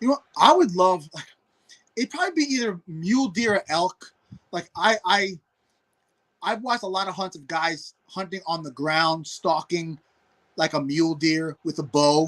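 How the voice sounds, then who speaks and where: In a New York accent, a man with a high voice speaks at a moderate pace with lively intonation and long, frequent pauses. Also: dry, close sound with no echo. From New York City. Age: 40s. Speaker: hunter and former pro football player. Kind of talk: casual podcast interview. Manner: repetitive stammering.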